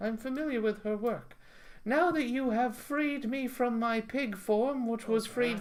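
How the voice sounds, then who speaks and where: A woman uses a put-on character voice at a high pitch. She speaks at a moderate pace. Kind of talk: comic improvised storytelling. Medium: read story. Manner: deadpan, matter-of-fact.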